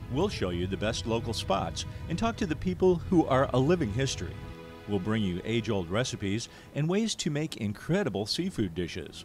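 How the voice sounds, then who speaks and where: Over music in the background, a man speaks at a fairly quick pace with very wide pitch swings. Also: medium pitch for a man. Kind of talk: promotional trailer narration.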